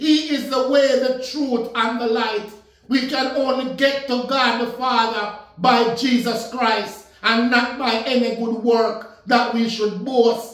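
A man speaks at an extremely high pitch and a very slow pace. His intonation stays fairly even, with audible room echo around him. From Jamaica. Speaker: minister. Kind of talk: sermon. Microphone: phone near.

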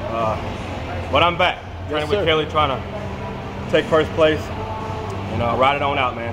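Noticeable background noise sits beneath a man's voice. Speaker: fitness coach vlogger. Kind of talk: casual vlog chat and workout coaching. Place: gym. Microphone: phone near.

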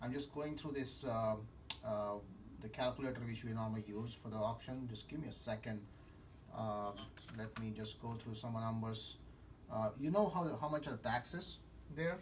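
With light background noise, a man talks with ordinary pitch variation and long, frequent pauses. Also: moderate pace. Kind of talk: business phone discussion. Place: office.

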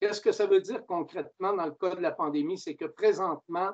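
A man speaks with fairly even intonation against a quiet background. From Quebec. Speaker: mayor chairing a municipal council meeting; mayor chairing council meeting. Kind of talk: council meeting proceedings. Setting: video conference. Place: home room. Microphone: video call.

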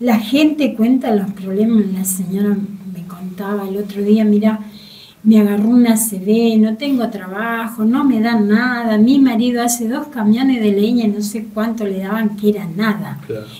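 At a fairly slow pace, a woman speaks in an unremarkable speaking voice with a fairly high pitch and fairly even intonation. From Argentina. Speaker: market coordinator; guest. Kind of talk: interview. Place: studio. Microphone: studio mic.

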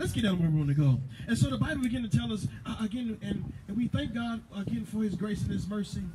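A man with an American accent talks very fast in a high voice with very wide pitch swings. Noticeable background noise and audible room echo surround him. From US South. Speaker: pastor. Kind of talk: sermon.

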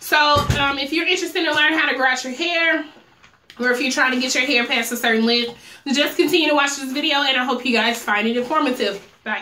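A woman's high-pitched, raised, projected voice at a very fast pace, with ordinary pitch variation, light background noise and audible room echo. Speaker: hair stylist and vlogger; vlogger. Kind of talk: tutorial. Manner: casual, chatty. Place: home room.

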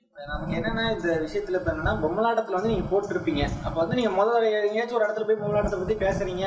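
A man speaks in a high voice with ordinary pitch variation. Noticeable background noise runs behind him. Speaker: interviewer. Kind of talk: interview question.

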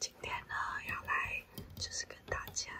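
A woman whispering very slowly in a relaxed tone. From Taiwan. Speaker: ASMR content creator. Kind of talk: casual talk to camera. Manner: soft-spoken, relaxed. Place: home room. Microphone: phone near.

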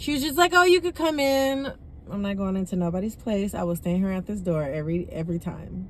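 A woman is heard in a dry recording with no echo and light background noise. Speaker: delivery driver vlogger. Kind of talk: casual vlog chat. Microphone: phone near.

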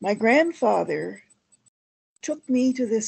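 Very slow and somewhat breathy, a woman speaks with a Canadian accent. Her tone is dark and mellow, and her intonation is lively. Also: quiet background. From Ontario, Canada (Essex County). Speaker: historian and heritage consultant. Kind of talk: lecture. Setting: video call. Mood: earnest, proud of heritage. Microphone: video call.

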